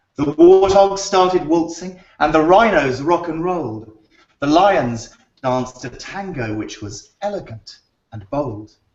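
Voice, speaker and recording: A man with a British accent speaks in a fairly high voice at a fairly slow pace. His intonation is lively and his loudness swings widely. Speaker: children's book author. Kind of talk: reading aloud to children; casual chat. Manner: animated.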